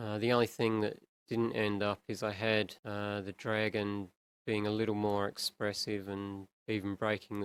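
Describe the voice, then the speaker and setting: In a dry, close sound with no echo, a man with an Australian accent speaks at a moderate pace with a fairly low pitch and monotone, flat intonation. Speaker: animator. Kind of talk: tutorial. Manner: casual.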